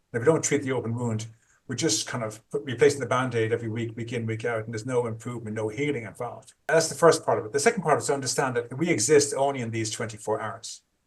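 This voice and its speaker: A man's somewhat breathy voice of medium pitch, very fast, with fairly even intonation. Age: 60s. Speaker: trauma therapist. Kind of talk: interview.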